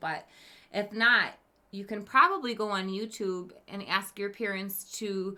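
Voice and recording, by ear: With fairly even intonation, a person reads aloud in a natural voice.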